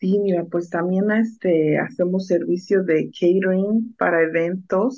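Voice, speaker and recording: Against a quiet background, a woman with a medium pitch speaks fairly slowly, her loudness very even and her intonation fairly even. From Mexico, Oaxaca (Mixteca region); Oaxaca, Mexico. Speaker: food truck owner; guest. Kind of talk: radio interview. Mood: warm, proud. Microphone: video call.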